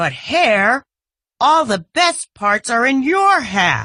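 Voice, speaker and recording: A female-sounding, put-on character voice sits high in pitch and swings very widely. It moves at a very slow pace over a quiet background. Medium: read story. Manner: slow, grumbling.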